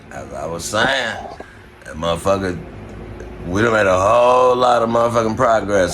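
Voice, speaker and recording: Long, frequent pauses break up a man's moderate pace at medium pitch, with big swings in loudness, audible room echo and noticeable background noise. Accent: American. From Indianapolis, Indiana (west side). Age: 40s. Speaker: vlogger reacting to news clips. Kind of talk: casual reaction commentary. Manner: animated.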